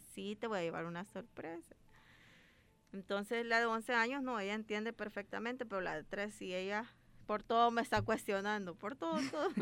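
An ordinary speaking voice belongs to this woman, pitched fairly high. She keeps a moderate pace with ordinary pitch variation. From El Salvador, Ahuachapán. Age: 30s. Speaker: doctor. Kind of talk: radio interview.

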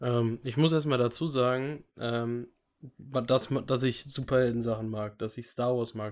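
A man's medium-pitched, ordinary speaking voice at a moderate pace, with fairly even intonation. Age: 20s. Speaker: podcast co-host. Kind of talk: casual chat. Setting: video call.

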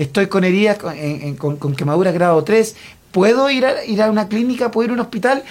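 With lively intonation and a fairly quick pace, a man speaks in a high pitch. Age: 40s. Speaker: comedian. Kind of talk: comedic radio banter.

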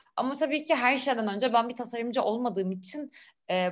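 A woman is talking with ordinary pitch variation. Her voice is fairly high. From Istanbul, Turkey. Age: 20s. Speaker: French teacher, Instagram creator. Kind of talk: casual interview. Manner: hesitant, many fillers.

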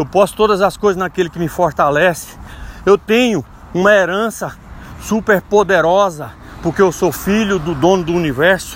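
There is noticeable background noise behind a man whose voice sits high in pitch. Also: ordinary pitch variation, moderate pace. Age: 40s. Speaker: lay preacher. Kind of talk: devotional talk. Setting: outdoors, walking.

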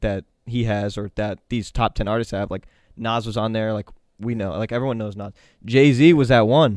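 In an unremarkable speaking voice, a man talks at a moderate pace and medium pitch with ordinary pitch variation, recorded with a dry, close sound and no echo. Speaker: podcast co-host. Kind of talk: casual chat.

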